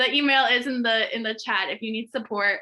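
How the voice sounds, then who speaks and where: This is a woman speaking at a fairly high pitch. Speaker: school district health and wellness presenter. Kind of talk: virtual workshop presentation. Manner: fast.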